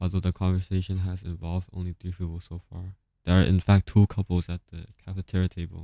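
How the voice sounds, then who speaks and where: A man with a very deep, low pitch and a dark, mellow tone talks in a monotone, flat way at a moderate pace, recorded very cleanly with a silent background and a dry, close sound with no echo. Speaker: gaming youtuber. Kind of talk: reading aloud. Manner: halting.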